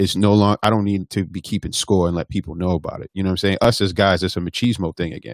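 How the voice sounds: The intonation holds fairly even. The voice is a natural one, reading.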